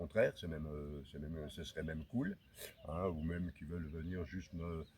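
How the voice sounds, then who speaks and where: A man speaks with a very deep, low pitch. His voice is somewhat breathy, with fairly even intonation. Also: moderate pace. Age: 60s. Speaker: hiker vlogger. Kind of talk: vlog talk. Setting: outdoors. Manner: halting.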